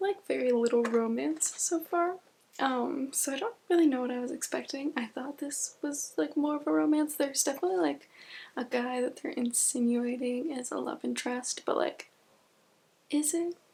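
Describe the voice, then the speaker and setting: A woman whispers. Her pace is moderate. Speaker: book vlogger. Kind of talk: casual vlog chat. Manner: whispering.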